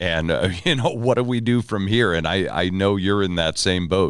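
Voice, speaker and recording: On a very clean recording with a silent background, a man in a plain, everyday voice speaks at a fairly low pitch with lively intonation. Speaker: podcast host. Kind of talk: podcast interview conversation.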